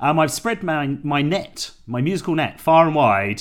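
In a southern English accent, a man talks at a fairly slow pace in a very clean recording with a silent background. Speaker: jazz podcast host. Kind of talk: casual interview chat.

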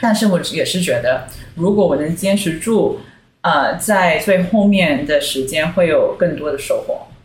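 Amid audible room echo, a woman speaks fairly slowly with ordinary pitch variation. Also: medium pitch for a woman. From Singapore. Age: 30s. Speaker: brand consultant. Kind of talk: casual chat.

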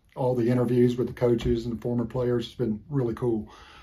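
The voice is dark and mellow, somewhat breathy, with an American accent. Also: man. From Florida. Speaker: former college football player. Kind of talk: recorded anecdote.

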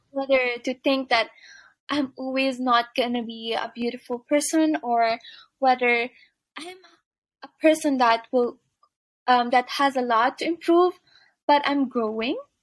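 A woman speaks at a fairly slow pace in a high voice, with long, frequent pauses and a dry, close sound with no echo. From Philippines. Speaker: entrepreneur. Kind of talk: interview.

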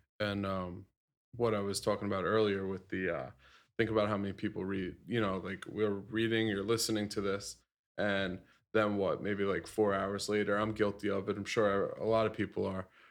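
A man's fairly low, flat, monotone voice against a quiet background. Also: moderate pace. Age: 30s. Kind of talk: casual chat.

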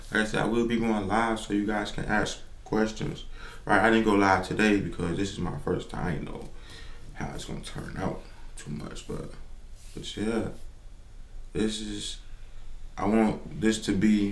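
Against noticeable background noise and audible room echo, a man speaks fairly slowly at a fairly low pitch with fairly even intonation and long, frequent pauses. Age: 20s. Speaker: podcast host. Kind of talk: solo podcast monologue. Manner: casual, halting.

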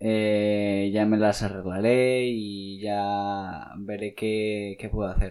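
A man's dark, mellow, fairly low voice, very slow with hardly any pauses, monotone and flat, on a very clean recording with a silent background. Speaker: podcaster and amateur musician. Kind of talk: casual solo monologue. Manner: halting, with many fillers and repetitions.

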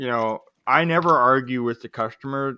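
A man's medium-pitched voice with a bright, sharp tone, dry and close with no echo, on a very clean recording with a silent background. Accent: Canadian. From Canada, Greater Toronto Area. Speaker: awning contractor, business owner. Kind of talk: casual chat.

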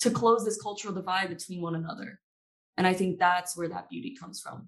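It's a plain, everyday voice from a woman at medium pitch. Her pitch variation is ordinary. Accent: American. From Maryland. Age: 20s. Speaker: young adult community member. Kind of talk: panel discussion.

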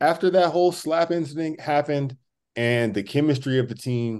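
A man with a plain, everyday voice speaks at a moderate pace with lively intonation against a quiet background. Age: 20s. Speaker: basketball podcast host. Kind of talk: casual chat.

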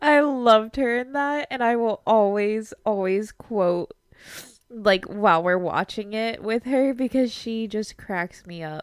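A woman's unremarkable speaking voice, fairly high in pitch and at a fairly slow pace, with a dry, close sound with no echo in a very clean recording against a silent background. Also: ordinary pitch variation. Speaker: podcast host. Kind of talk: casual chat.

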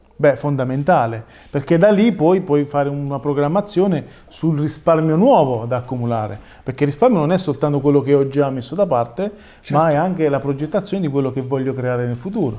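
A man talks at a fairly quick pace in a dark, mellow tone, with ordinary pitch variation. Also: fairly high pitch for a man. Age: 30s. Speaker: financial advisor, podcast co-host. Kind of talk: casual chat.

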